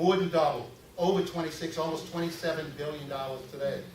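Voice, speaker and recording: Over noticeable background noise and audible room echo, a man with an American accent speaks at a fairly quick pace and fairly high pitch, with fairly even intonation. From Louisiana, Metairie. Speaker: political candidate. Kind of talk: campaign speech. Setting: stage with audience. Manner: halting, frequent fillers.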